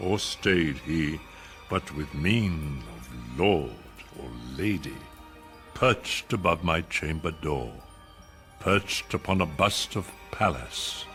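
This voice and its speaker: A man's very deep, low voice, very slow and theatrical, with lively intonation and music in the background. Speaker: actor reciting a poem. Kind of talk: dramatic poetry reading. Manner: slow, theatrical, brooding.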